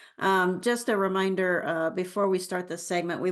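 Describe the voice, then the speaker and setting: With an unremarkable speaking voice, a woman of fairly low pitch speaks at a moderate pace and with fairly even intonation over a quiet background. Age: middle-aged. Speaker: forum moderator. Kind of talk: moderated online forum.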